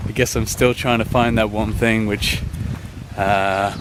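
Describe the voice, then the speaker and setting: Medium-pitched male speech at a moderate pace, with noticeable background noise and audible room echo. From UK. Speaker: running vlogger, scuba dive instructor. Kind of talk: casual vlog talk. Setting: outdoors in a forest.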